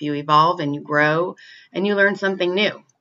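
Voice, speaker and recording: This woman has an ordinary speaking voice with fairly low pitch. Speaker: professional musician. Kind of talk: recorded personal advice.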